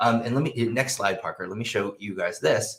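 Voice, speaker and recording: With a medium pitch and a somewhat breathy sound, a man talks at a very fast pace. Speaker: professor of behavioral economics. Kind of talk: conference presentation. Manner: halting, many fillers and restarts.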